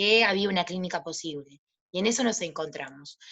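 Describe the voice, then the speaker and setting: Her tone comes across bright and sharp. This woman speaks at a fairly slow pace. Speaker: psychologist and practicum supervisor. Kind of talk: panel talk. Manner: halting.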